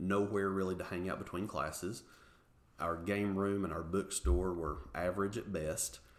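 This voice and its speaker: In an East Tennessee accent, a man speaks at a fairly quick pace. His very deep, low voice shows ordinary pitch variation. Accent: Southern US (East Tennessee). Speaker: university marketing executive. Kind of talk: interview. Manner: enthusiastic.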